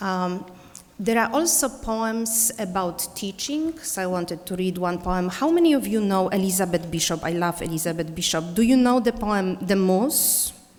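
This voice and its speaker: Speaking at a moderate pace with lively intonation, a woman with an Eastern European accent has a medium pitch, heard with audible room echo and noticeable background noise. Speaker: poet and teacher. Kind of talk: poetry reading; conference talk.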